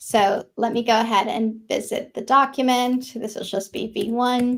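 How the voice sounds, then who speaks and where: In an ordinary speaking voice, a woman talks at a fairly slow pace, her fairly high pitch held in fairly even intonation. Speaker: software engineer presenting a framework feature. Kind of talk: technical presentation with live demo.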